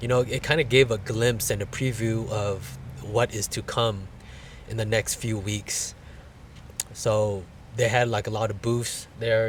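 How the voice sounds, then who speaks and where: In a fairly low, somewhat breathy voice, a man speaks at a fairly slow pace. His intonation stays fairly even. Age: 40s. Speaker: college student, formerly incarcerated. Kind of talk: casual vlog talk to camera.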